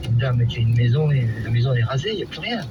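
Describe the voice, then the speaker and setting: A man speaks fairly quickly while noticeable background noise plays beneath him. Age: 60s. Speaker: winegrower, eyewitness. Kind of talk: testimony. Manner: halting.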